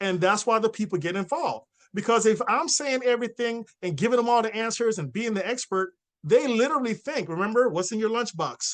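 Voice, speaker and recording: The tone is energetic and the pace fairly quick. Pitch varies in an ordinary way. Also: man, high pitch for a man. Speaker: network marketing trainer. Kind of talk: training presentation. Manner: fast.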